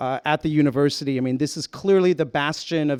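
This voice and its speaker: A man's normal speaking voice in an American accent, fairly quick, with ordinary pitch variation and a dry, close sound with no echo. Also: very clean recording, silent background. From US, Houston, Texas. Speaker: nonprofit co-founder. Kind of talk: conference talk.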